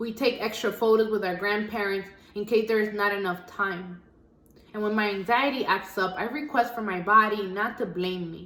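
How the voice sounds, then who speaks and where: Noticeable background noise and audible room echo accompany a woman's voice. Her intonation stays fairly even. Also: medium pitch for a woman, moderate pace. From US Northeast, the Bronx, Dominican family. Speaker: spoken word poet. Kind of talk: spoken word poetry performance.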